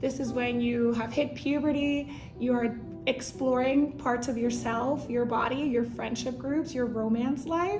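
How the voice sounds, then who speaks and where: With fairly even intonation and a high pitch, a woman speaks amid audible room echo and noticeable background noise. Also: fairly slow pace. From Puerto Rico, then Reading, Pennsylvania. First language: Spanish. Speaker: Spanish teacher. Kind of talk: documentary interview.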